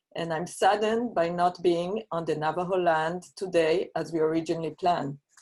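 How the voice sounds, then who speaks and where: A woman talks at a fairly quick pace with hardly any pauses. Her pitch is fairly low and her intonation fairly even. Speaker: university researcher. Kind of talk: conference presentation. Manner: formal.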